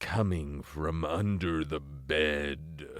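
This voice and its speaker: A man puts on a character voice. It sits very deep and low in pitch. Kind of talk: parody horror narration. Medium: read story. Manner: pompous, theatrical.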